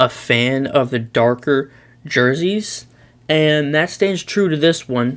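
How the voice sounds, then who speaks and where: A man with a fairly high voice speaks at a very slow pace. His pitch varies in an ordinary way. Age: young. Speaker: YouTuber, sports commentator. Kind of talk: casual commentary, tier list. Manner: loud; hesitant, many fillers.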